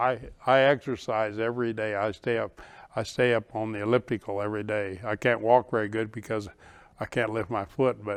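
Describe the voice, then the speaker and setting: In a fairly low, monotone voice with flat intonation, a man speaks at a fairly quick pace. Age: 80s+. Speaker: retirement community founder and resident. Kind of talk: interview.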